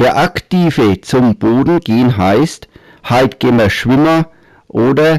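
Speaking very slowly with a Franconian accent, a man uses a medium pitch and lively intonation, captured in a very clean recording with a silent background and a dry, close sound with no echo. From Middle Franconia, Germany. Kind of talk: humorous dialect story narration.

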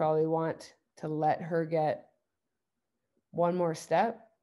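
Against a quiet background, a woman with a Canadian accent speaks in a dark, mellow tone at a fairly low pitch with fairly even intonation. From Ontario, Canada (Guelph). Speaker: university basketball head coach. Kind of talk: coaching workshop presentation. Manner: halting, many fillers and repeats.

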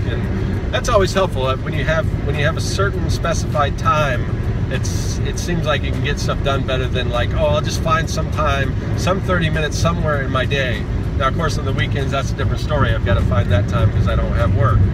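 Loud background noise surrounds a man's voice, which sounds dry with no echo. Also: fairly quick pace. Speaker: comic artist vlogger. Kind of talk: casual vlog chat. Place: car. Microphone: phone near.

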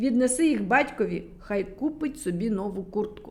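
A woman puts on a growling character voice at medium pitch. She keeps a moderate pace. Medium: read story. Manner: growling, threatening.

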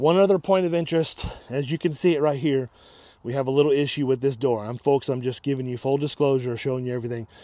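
Over a quiet background, a man talks at a very fast pace with ordinary pitch variation, a dark, mellow tone and a dry sound with no echo. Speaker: motorhome salesperson. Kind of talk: sales walkaround commentary. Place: open country. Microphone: phone near.

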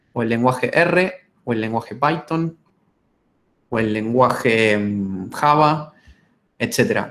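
Here a man is speaking. His intonation is lively. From Argentina, Buenos Aires. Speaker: data science lecturer. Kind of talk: webinar lecture. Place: home room. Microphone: webcam.

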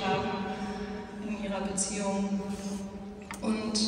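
The recording has strong room echo along with noticeable background noise. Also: woman. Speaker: pastor giving a speech. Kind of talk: public speech at a plaque unveiling. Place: church. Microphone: camera far.

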